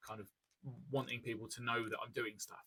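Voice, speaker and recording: The man speaks with a British accent. His sound is dry and close, with no echo. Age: 30s. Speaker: ADHD coach and content creator. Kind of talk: educational talk to camera. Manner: fast; hesitant, many fillers.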